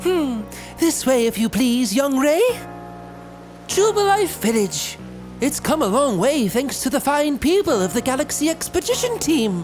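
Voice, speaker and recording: A man's nasal, put-on character voice at a moderate pace, with clear music in the background. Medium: solo performance. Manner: quirky, polite, old-fashioned.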